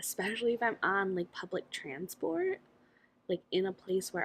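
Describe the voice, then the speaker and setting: A woman speaks with an American accent at a medium pitch. Her pitch varies in an ordinary way. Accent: American accent, noticeable to locals. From United States. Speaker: vlogger. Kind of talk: casual vlog monologue. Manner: candid, conversational.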